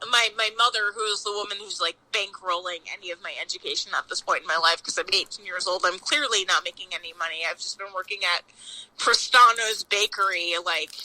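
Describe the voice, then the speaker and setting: An animated woman with an American accent and ordinary pitch variation, recorded with a dry, close sound and no echo, with noticeable background noise. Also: medium pitch for a woman. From Long Island, New York. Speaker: pastry chef. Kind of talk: casual chat.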